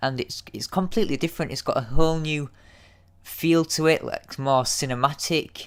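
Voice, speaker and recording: A man in a Yorkshire accent, fairly high in pitch with ordinary variation, at a moderate pace on a very clean recording with a silent background. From Yorkshire, northern England. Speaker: YouTube TV episode reviewer. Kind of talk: casual solo review. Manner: hesitant, many fillers and repeats.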